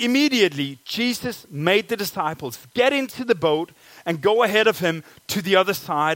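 A man speaks with a Danish accent. His pitch swings very widely. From Denmark. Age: 30s. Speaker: pastor. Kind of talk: sermon. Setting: church.

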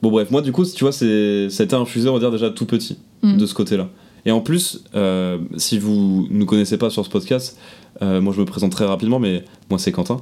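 Pitched fairly low, a man speaks at a fairly quick pace in a dark, mellow tone. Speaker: podcast co-host. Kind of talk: casual chat.

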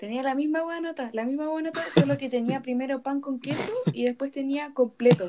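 A woman with a Chilean accent talks at a fairly quick pace in a high pitch with ordinary pitch variation, over noticeable background noise. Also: hardly any pauses. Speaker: podcast host. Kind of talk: casual chat.

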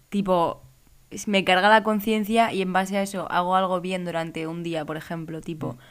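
A woman with an ordinary speaking voice, medium in pitch, talks at a moderate pace with fairly even intonation and big swings in loudness. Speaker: podcast co-host, law student. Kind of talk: casual chat.

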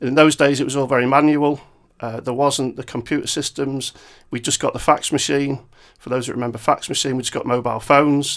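Very fast and monotone, a man speaks with flat intonation at a fairly high pitch. The recording is very clean, with a silent background. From Cheshire, northern England (Macclesfield). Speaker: chief executive of a trade association. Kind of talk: interview. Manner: hesitant, many fillers.

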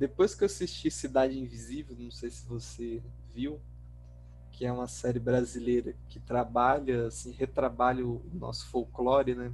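The man speaks at a moderate pace, his loudness swinging widely. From Brazil, Mato Grosso (Pontes e Lacerda) and Natal. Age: 20s. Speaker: author. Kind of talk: casual interview.

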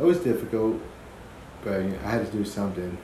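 With audible room echo and noticeable background noise, a man speaks at a fairly low pitch with lively intonation. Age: 20s. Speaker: father sharing his experiences; podcaster. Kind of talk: casual chat.

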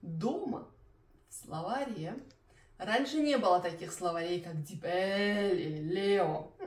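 Speaking very slowly with long, frequent pauses, a woman keeps her intonation lively. Noticeable background noise and audible room echo surround her. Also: medium pitch for a woman. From Belarus. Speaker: Russian language teacher. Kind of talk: language-learning tutorial. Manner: clear; moderate pace.

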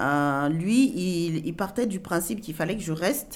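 A woman's fairly low-pitched, fairly slow voice, a normal speaking voice. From Cameroon, moved to France at 8. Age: 40s. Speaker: interviewee telling her life story. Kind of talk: personal testimony interview.

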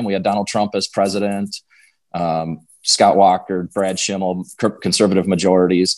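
Against a quiet background, a man speaks with a Wisconsin accent. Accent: Upper Midwest (Wisconsin). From Western Wisconsin. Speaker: political candidate, former state legislator. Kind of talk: interview.

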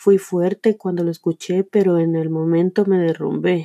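A woman with a medium-pitched, dark and mellow voice speaks at a fairly slow pace in a flat monotone, recorded dry and close with no echo. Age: 30s. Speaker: podcaster. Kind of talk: motivational monologue.

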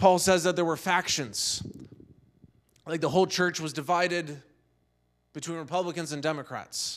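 Against a silent background in a very clean recording, a man with a high voice speaks at a moderate pace, taking long, frequent pauses, his intonation fairly even. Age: 50s. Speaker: pastor. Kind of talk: sermon. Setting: church.

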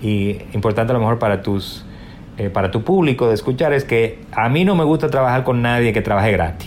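At a fairly quick pace, a man talks at medium pitch with very wide pitch swings. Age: 40s. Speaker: digital humanities librarian. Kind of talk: interview.

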